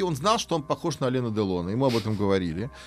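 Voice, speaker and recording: A man races along very fast, his pitch swinging very widely, while music plays behind him. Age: 50s. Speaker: history professor. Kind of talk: interview. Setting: studio. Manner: hesitant, filler-heavy.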